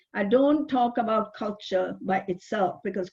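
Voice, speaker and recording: A woman's somewhat breathy voice sits fairly high, moving at a moderate speed with ordinary pitch variation. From India. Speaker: psychotherapist. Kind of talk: webinar talk.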